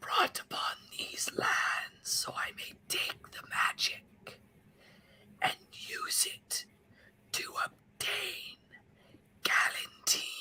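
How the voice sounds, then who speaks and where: Whispering in a put-on character voice, the speaker goes at a very slow pace with long, frequent pauses. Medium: actual play. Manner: cold, scheming.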